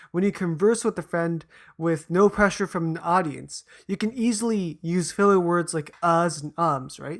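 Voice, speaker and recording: Fairly quick speech on a very clean recording with a silent background. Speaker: educational YouTuber. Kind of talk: explainer monologue. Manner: fast; casual, self-correcting.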